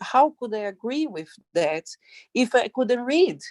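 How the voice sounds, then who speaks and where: A woman speaks with a non-native accent and lively intonation. The sound is dry and close, with no echo. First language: not English. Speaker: sex worker, migrant. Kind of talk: testimony. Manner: halting.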